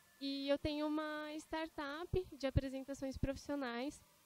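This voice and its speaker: A woman's high-pitched voice at a very slow pace. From São Paulo interior, Brazil. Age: 20s. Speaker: student, startup founder. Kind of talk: panel debate.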